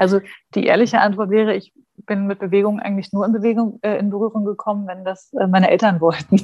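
A woman talks at a very fast pace in a medium pitch. Her tone is dark and mellow, and her intonation is monotone and flat. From Saxony-Anhalt, eastern Germany (Dessau). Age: 30s. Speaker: special education teacher. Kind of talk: casual interview.

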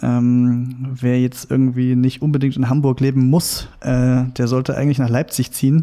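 A man speaks at medium pitch with a dark, mellow tone. His intonation is flat and monotone. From Saxony, near Meissen. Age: 30s. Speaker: journalist. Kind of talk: interview. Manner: hesitant, many filler sounds.

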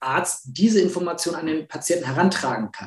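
This man's voice sits high in pitch. It rises and falls in an ordinary way. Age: 40s. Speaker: media and communications expert, award founder. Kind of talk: interview.

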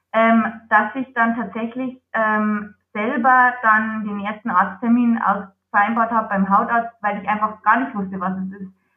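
A woman speaks at a moderate pace. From Lower Bavaria, Germany. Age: 20s. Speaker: psoriasis patient, project manager. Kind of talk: interview.

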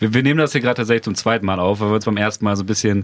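Very fast delivery with ordinary pitch variation. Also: man. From Bremen area, northern Germany. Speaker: podcast host, journalist. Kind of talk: casual chat.

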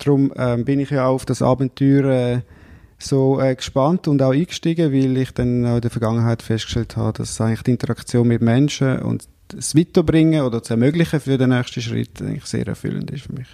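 Recorded with a dry, close sound and no echo, a man speaks at a medium pitch and moderate pace in a dark, mellow tone with ordinary pitch variation. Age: 40s. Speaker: entrepreneur, coach. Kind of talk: interview.

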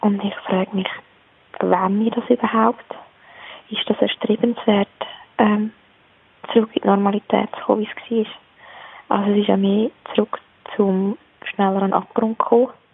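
Over noticeable background noise, a woman with a fairly high voice speaks in a monotone, flat way, leaving long, frequent pauses. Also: moderate pace. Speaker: mother, caller. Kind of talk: voicemail monologue. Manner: spontaneous.

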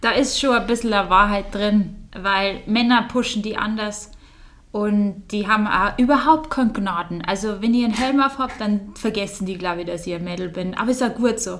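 Speaking at a moderate pace, a woman with a Bavarian accent uses a medium pitch with ordinary pitch variation. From Bavaria, Germany. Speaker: professional mountain biker. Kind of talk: casual interview.

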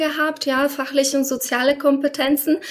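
The speech has monotone, flat intonation. Noticeable background noise is present. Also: woman. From Poland. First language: Polish (speaking German). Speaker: former coaching client, insurance professional. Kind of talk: interview.

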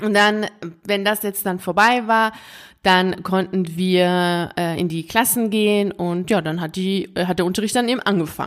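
In a very clean recording with a silent background, a woman speaks at a medium pitch and moderate pace. She has a plain, everyday voice with fairly even intonation. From Iran (Tehran), schooled early years there. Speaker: podcast host and coach for teachers. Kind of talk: solo podcast monologue with personal story. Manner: casual, conversational with laughter.

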